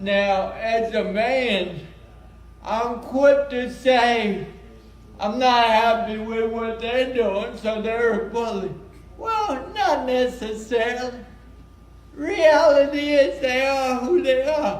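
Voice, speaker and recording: A loud man at an extremely high pitch, very slow, with audible room echo and noticeable background noise. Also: ordinary pitch variation. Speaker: self-advocate speaker. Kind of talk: conference presentation.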